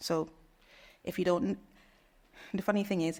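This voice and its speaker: A woman speaks with a British accent. Her pitch sits in the medium range. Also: very clean recording, silent background. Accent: British accent, can switch to Trinidadian. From Trinidad and Tobago. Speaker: nurse researcher. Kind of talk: conference talk and Q&A.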